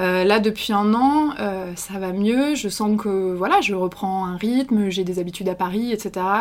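With noticeable background noise behind her, a woman talks at a fairly slow pace and a medium pitch, with ordinary pitch variation and hardly any pauses. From France. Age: 20s. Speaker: journalist. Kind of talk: interview. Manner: hesitant.

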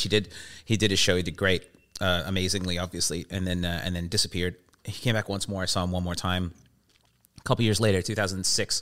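A man's very deep, low voice at a very fast pace, on a very clean recording with a silent background. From England. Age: 40s. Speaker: comedian. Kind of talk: casual chat.

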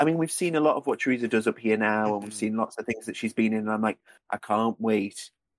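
Speaking at a fairly quick pace, a man has an ordinary speaking voice of medium pitch with ordinary pitch variation over a quiet background. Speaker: podcast co-host. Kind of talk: casual chat.

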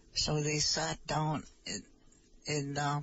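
A woman's somewhat breathy, very deep, low voice with an American accent. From Nett Lake, northern Minnesota (Ojibwe reservation). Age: old. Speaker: Ojibwe language teacher, elder. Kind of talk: casual chat.

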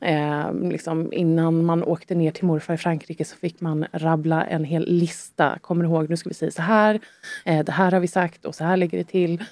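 A woman's fairly low, monotone voice with flat intonation, at a moderate pace. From Sweden, Stockholm area. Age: 30s. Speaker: guest sharing life story. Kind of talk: personal testimony in interview. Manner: hesitant, many fillers.

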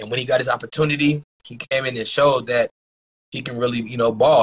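Flat, monotone intonation marks this man's speech. He races along at a very fast pace. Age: 30s. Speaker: former pro basketball player. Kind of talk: casual interview.

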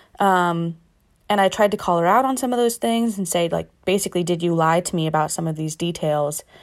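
Music plays behind a woman with an American accent. She talks fairly quickly at a fairly low pitch. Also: ordinary pitch variation. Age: 20s. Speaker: listener with a question. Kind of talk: recorded listener question. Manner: hesitant, many fillers.

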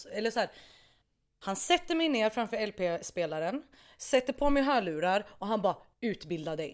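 At a moderate pace with long, frequent pauses, a woman speaks at a fairly high pitch with very wide pitch swings, on a very clean recording with a silent background. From Iraqi family background. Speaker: musician. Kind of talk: casual chat. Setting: studio.

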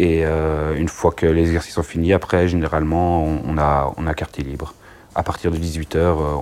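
Noticeable background noise surrounds a man with a very deep, low pitch. He talks at a fairly quick pace with monotone, flat intonation. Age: 30s. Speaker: firefighter paramedic. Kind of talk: interview.

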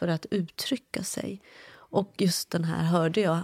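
A woman with a slight non-native accent speaks very slowly at a fairly low pitch. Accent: slight foreign accent in Swedish. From Iran, grew up partly as refugee in Afghanistan. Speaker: journalist. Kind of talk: conversation.

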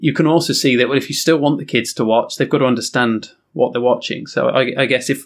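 A man with an English accent, medium pitch, fairly even intonation, very fast pace. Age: 40s. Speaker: TV news presenter. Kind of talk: casual chat.

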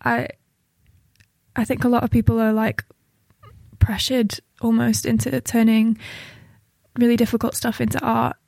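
Long, frequent pauses from a woman at a moderate pace, with a dry, close sound and no echo. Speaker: poet and playwright. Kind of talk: poetry performance and interview.

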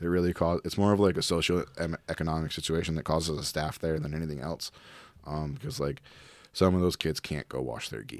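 On a very clean recording with a silent background, a man with a very deep, low pitch speaks at a fairly quick pace with ordinary pitch variation. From Providence, Rhode Island. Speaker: cannabis lab director and jiu-jitsu competitor. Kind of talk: casual interview chat. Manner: halting, many fillers.

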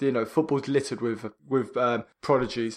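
Speaking in an unremarkable speaking voice, a man keeps a medium pitch with ordinary pitch variation. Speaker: podcast co-host. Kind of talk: casual chat.

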